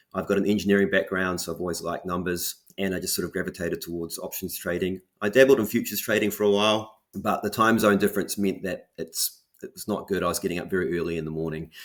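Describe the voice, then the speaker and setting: A man with a New Zealand accent speaks very fast at a fairly low pitch, with hardly any pauses and fairly even intonation, in a very clean recording with a silent background. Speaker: options trader. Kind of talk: interview. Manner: hesitant, many fillers and repeats.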